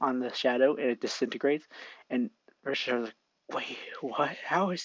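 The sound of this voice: An unforced reading voice, little sound around it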